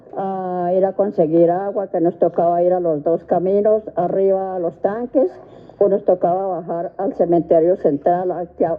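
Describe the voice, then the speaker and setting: Against noticeable background noise, a woman with a medium pitch talks at a fairly slow pace with fairly even intonation. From Colombia, Facatativá (Cundinamarca). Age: 80s+. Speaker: interviewee sharing life memories. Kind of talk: radio interview, life testimony.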